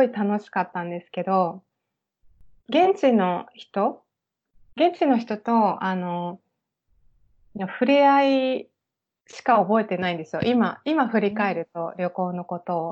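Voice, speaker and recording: Against a quiet background, a woman speaks at a fairly slow pace in a medium pitch with lively intonation. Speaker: private tour guide. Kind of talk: interview.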